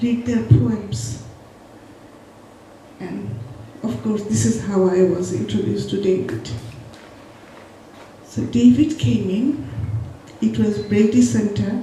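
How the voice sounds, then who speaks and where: Over noticeable background noise and audible room echo, a woman with a Bengali accent speaks at a very slow pace with long, frequent pauses, her medium-pitched voice making very wide pitch swings. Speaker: poet. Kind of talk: spoken tribute at a memorial event.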